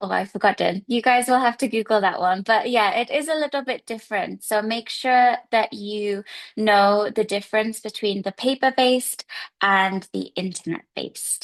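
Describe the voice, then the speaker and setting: A woman with an English accent speaks at a moderate pace, her fairly high voice showing ordinary pitch variation. The sound is dry and close with no echo, over a quiet background. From England. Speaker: English teacher. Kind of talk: seminar talk. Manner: hesitant fillers.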